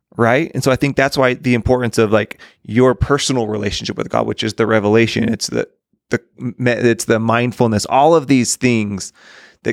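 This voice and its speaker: A normal speaking voice moves at a fairly quick pace with fairly even intonation, in a dry, close sound with no echo. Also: man. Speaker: podcast co-host. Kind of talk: casual interview chat.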